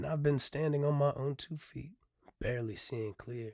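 A man speaks at a moderate pace in an intense tone, with ordinary pitch variation. The recording is very clean, the background silent. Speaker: poet and podcaster. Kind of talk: solo podcast talk, some poetry reading; poem performed, rhythmic rhyming spoken-word delivery, intimate and confessional. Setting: filming video podcast with camera and mic. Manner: hesitant, filler-heavy, earnest; rhythmic, brooding, intense spoken-word cadence in the poem.

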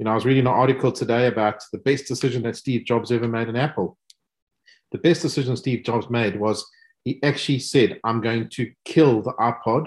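With a South African accent, a man talks at a fairly quick pace and medium pitch, using ordinary pitch variation against a quiet background. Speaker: business executive. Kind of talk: panel discussion.

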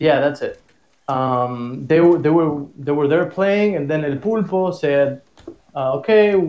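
This is a man speaking with a Spanish accent. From Argentina. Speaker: tango musician. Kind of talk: casual interview. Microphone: echo.

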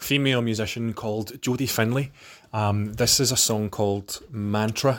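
Speaking with a Scottish accent, a man keeps a fairly slow pace and fairly even intonation. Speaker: podcast host. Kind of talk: casual monologue.

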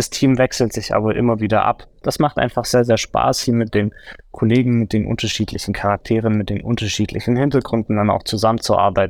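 Using a normal speaking voice, a man talks fairly quickly at a medium pitch with fairly even intonation on a very clean recording with a silent background. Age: 30s. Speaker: forensic consultant, former police officer. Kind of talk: interview.

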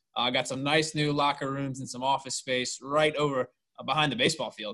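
A man speaks with an American accent at a fairly quick pace. His pitch sits fairly high, and his tone is bright and sharp. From Richmond, Virginia. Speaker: sports podcast host. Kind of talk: interview.

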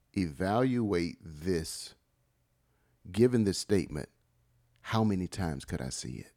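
A man speaks with a very deep, low pitch and vocal fry at a fairly slow pace. The sound is dry and close, with no echo. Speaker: podcast co-host. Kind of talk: casual conversation.

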